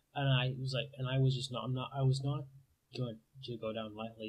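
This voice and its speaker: At a fairly quick pace, a man talks in a somewhat breathy voice. His pitch is medium and his intonation fairly even. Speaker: college student, computer science major. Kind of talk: casual talk to camera. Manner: fast.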